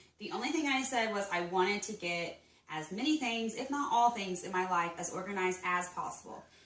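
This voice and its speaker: A woman's medium-pitched, fairly quick voice with lively intonation, audible room echo and noticeable background noise. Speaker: home organization vlogger. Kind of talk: casual vlog tutorial. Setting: at home.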